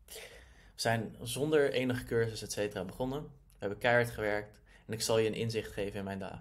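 A man with an unremarkable speaking voice, a moderate pace and fairly even intonation. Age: 20s. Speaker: online entrepreneur. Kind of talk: personal story monologue. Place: home room. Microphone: webcam.

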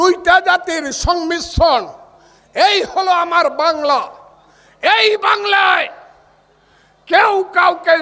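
A man speaks at an extremely high pitch, in a raised, projected voice. His tone is animated, with ordinary pitch variation. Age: 70s. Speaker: politician. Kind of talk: political rally speech. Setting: outdoor night rally with crowd. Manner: loud.

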